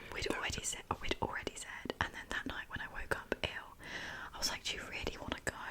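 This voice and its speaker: Someone whispers at a very fast pace. Noticeable background noise runs underneath. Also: woman. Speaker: ASMR creator. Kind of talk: ASMR chat. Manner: whispered.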